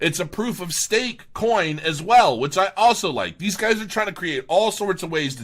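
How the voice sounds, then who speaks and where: A man talks with vocal fry. He speaks with hardly any pauses. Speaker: crypto video blogger. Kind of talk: casual review monologue. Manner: halting, many fillers and restarts.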